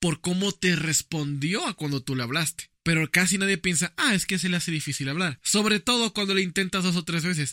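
With a high pitch and a bright, sharp tone, a man speaks at a moderate pace with ordinary pitch variation in a very clean recording with a silent background and a dry, close sound with no echo. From Dominican Republic. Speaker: podcast co-host and video editor. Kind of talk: casual chat.

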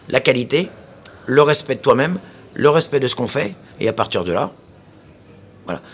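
A man speaks at a moderate pace with a fairly high pitch, vocal fry and lively intonation. He leaves long, frequent pauses. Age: 40s. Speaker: chef. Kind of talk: casual chat.

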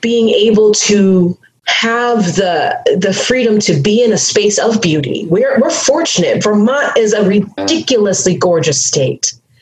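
The pace is fairly slow, with hardly any pauses and very even loudness. Pitch moves in very wide swings. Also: woman, fairly high pitch for a woman. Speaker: activist and consultant. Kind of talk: casual interview conversation.

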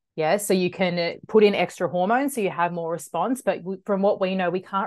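Against a quiet background, a woman talks at a fairly quick pace in an Australian accent. Her pitch is fairly low, with ordinary variation. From Australia, western suburbs of Melbourne. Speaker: naturopath. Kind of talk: interview conversation.

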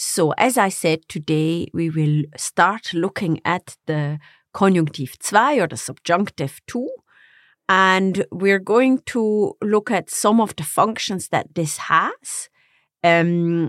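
A woman speaks very slowly in a German accent. Her intonation is lively. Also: medium pitch for a woman. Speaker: German teacher and co-host. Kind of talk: casual educational chat.

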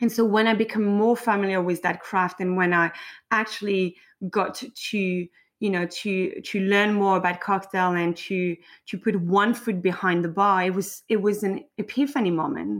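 Speaking at a moderate pace and medium pitch, a woman with a French accent keeps her intonation fairly even. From south of France. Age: 30s. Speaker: drinks consultant and founder. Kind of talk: interview, casual chat.

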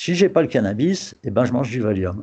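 A man's dark, mellow tone at a moderate pace. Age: 60s. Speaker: retiree. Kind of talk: interview testimony.

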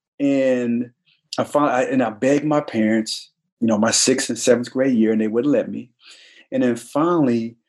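A man with an American accent uses an ordinary speaking voice at medium pitch and a moderate pace. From US, army brat (born Detroit, Michigan). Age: 40s. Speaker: former NFL player. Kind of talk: podcast interview.

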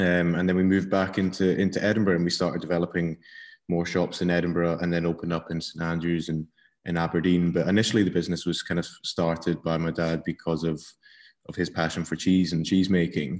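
A man with a Scottish accent, a very deep, low pitch, a fairly quick pace and flat, monotone intonation. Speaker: cheesemonger. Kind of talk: casual interview. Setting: video call.

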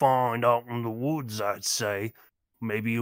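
Over a quiet background, the reading voice sounds unforced, and its intonation stays fairly even.

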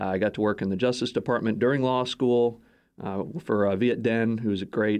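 Over a quiet background, a man with an unremarkable speaking voice and an American accent talks at a moderate pace, his fairly low pitch showing ordinary variation. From Texas. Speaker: think tank executive. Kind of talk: interview. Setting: studio.

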